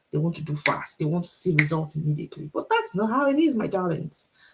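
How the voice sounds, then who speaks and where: Speaking at a very fast pace, a woman with a Nigerian accent uses a fairly low pitch and lively intonation. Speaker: author and teacher, motivational speaker. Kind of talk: motivational talk on a livestream. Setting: Instagram live stream.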